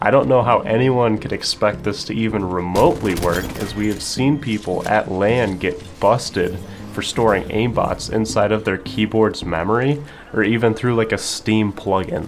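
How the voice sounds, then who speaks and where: With music in the background, a man of fairly low pitch speaks at a moderate pace and ordinary pitch variation. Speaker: gaming YouTuber. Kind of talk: scripted commentary. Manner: low energy.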